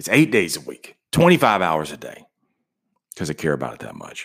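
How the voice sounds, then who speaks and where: At a fairly quick pace, a man talks in an animated tone with vocal fry and ordinary pitch variation. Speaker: podcast host. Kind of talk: pep talk. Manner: animated, emphatic, rapid-fire motivational delivery; repetitive, punchy, conversational.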